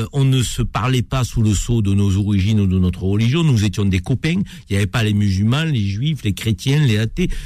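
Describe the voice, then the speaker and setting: Dark and mellow in tone, a man speaks with a fairly low pitch. He keeps a moderate pace and ordinary pitch variation. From France. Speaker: radio host. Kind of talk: radio talk show. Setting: studio.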